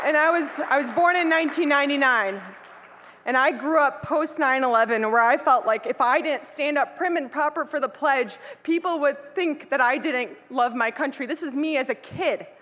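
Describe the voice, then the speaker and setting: Over crowd noise in the background, a woman with an American accent speaks at a moderate pace in a high pitch, with a bright, sharp tone and ordinary pitch variation. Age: 20s. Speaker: state legislator. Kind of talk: speech. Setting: banquet hall with audience. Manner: impassioned.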